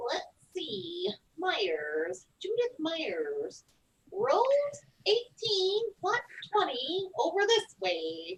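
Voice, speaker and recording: Putting on a character voice, a woman talks at a very slow pace in an extremely high pitch, with long, frequent pauses. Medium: stage play. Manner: brisk, officious.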